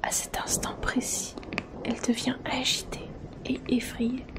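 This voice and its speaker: A woman whispers at a fairly slow pace. Noticeable background noise runs underneath. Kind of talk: horror story narration. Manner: soft-spoken, whispering.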